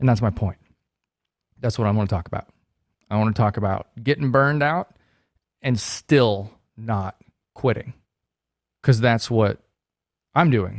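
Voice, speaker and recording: A man with a medium pitch and ordinary pitch variation talks at a moderate pace with long, frequent pauses, in a very clean, dry, close recording with a silent background and no echo. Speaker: real estate agent and video show host. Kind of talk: casual monologue to viewers. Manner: subdued, less enthusiastic than usual.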